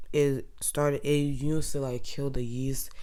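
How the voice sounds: A woman speaks slowly at an extremely low pitch, her tone dark and mellow, with little pitch movement.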